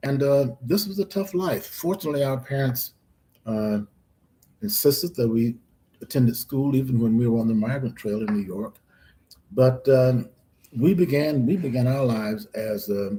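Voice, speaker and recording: With an American accent, a man talks in a medium pitch and a dark, mellow, somewhat breathy tone. His intonation is lively, broken by long, frequent pauses. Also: moderate pace. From US South, Florida (DeLand, Volusia County). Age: 80s+. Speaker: professor. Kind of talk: interview. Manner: halting.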